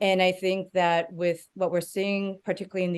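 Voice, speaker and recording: A woman talks in a Spanish accent at a fairly low pitch. Her pace is moderate and her intonation monotone and flat. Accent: Spanish accent when speaking Hebrew. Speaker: panelist, media advocate. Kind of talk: panel discussion. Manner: hesitant, many fillers.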